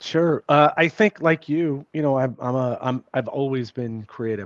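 Recorded with a dry, close sound and no echo, a man uses an ordinary speaking voice at a fairly slow pace with ordinary pitch variation. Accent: American. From New York City. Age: 50s. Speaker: author and journalist. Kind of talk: casual interview chat. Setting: remote call.

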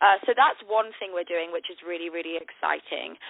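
A woman speaks in a British accent with ordinary pitch variation. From northern England; Manchester. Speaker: TV host and influencer. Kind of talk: casual phone interview. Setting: phone call. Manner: upbeat, friendly.

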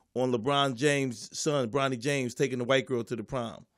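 An American-accented man with an ordinary speaking voice and fairly high pitch talks at a moderate pace on a very clean recording with a silent background. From US Northeast, Philadelphia. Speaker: comedian. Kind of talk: casual chat.

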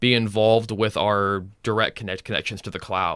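In a very clean recording with a silent background, a man with a fairly low pitch and a bright, sharp tone speaks in a flat monotone at a moderate pace. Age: 20s. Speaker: cloud engineer. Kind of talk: casual chat.

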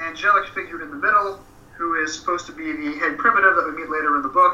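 Against noticeable background noise, a man with an American accent speaks at a high pitch with fairly even intonation. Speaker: podcast guest. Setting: remote call, host-side audio.

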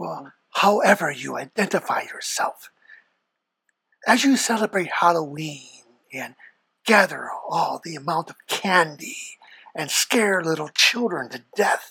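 In a put-on character voice, raspy and at middle pitch, the speaker goes at a fairly slow pace with long, frequent pauses. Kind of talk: sinister horror narration. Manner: ominous, condescending.

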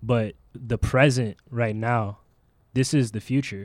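The sound is dry and close, with no echo. Intonation is fairly even. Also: man. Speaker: studio guest. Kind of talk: casual chat. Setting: radio studio. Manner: soft-spoken.

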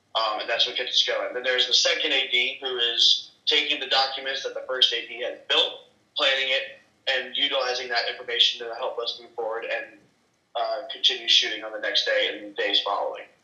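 A man with an American accent at a fairly quick pace, big swings in loudness, and audible room echo. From California. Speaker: film crew member. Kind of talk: casual chat. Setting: video call.

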